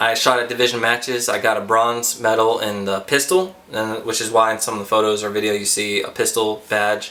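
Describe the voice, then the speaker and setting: Over noticeable background noise, a man with a fairly low voice talks at a moderate pace with fairly even intonation. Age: 20s. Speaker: Marine and military journalist. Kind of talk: casual vlog. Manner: casual with many fillers.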